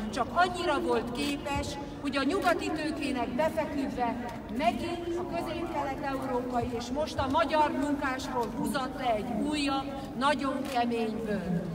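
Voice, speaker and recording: Against crowd noise in the background, the speaker goes at a fairly slow pace with ordinary pitch variation. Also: woman. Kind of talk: political rally speech. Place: street.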